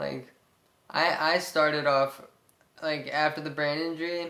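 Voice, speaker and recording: A man with an American accent speaks in a fairly high pitch. His intonation stays fairly even. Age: 20s. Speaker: brain injury survivor vlogger. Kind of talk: personal testimony. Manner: monotone; halting, many fillers.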